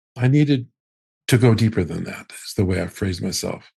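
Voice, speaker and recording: A man's somewhat breathy, dark and mellow voice at a fairly quick pace with ordinary pitch variation, against a quiet background. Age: 70s. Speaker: astrologer. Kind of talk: interview.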